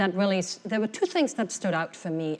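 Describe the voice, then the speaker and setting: Speaking with a non-native accent, a woman keeps a medium pitch. Her pitch variation is ordinary. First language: not English. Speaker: corporate HR executive. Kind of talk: keynote panel discussion.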